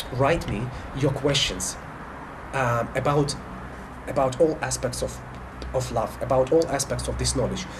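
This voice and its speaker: With audible room echo and noticeable background noise, a man in a Russian accent talks at a moderate pace with long, frequent pauses. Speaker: spiritual life coach. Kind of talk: monologue to camera. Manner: halting, many fillers and restarts.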